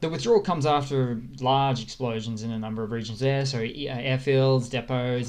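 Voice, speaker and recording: Against audible room echo, a man with an Australian accent speaks at a moderate pace, medium pitch and fairly even intonation. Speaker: war news commentator. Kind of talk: casual news update with map. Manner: casual, hesitant with fillers.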